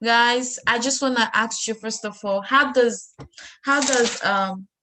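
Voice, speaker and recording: With a strong Sierra Leonean accent, a woman speaks using ordinary pitch variation. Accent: heavy Sierra Leonean. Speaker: student discussion host. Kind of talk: casual discussion.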